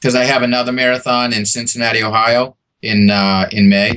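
A man's bright, sharp voice at a medium pitch, in a monotone, flat intonation. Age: 50s. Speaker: marathon runner. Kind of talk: casual chat.

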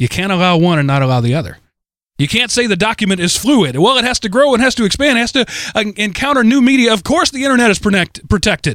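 Very fast and high-pitched, a man talks in an American accent with very wide pitch swings. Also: very clean recording, silent background. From Texas. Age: 40s. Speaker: podcast host. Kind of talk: solo commentary monologue. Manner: halting, with repetitions.

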